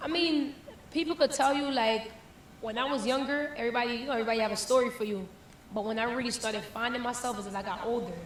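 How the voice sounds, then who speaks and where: A woman with an American accent, high-pitched and animated, at a very fast pace with ordinary pitch variation, amid noticeable background noise and audible room echo. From Jamaica, then the Bronx from age 12. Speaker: reggae and dancehall artist. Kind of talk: interview. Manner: casual, animated.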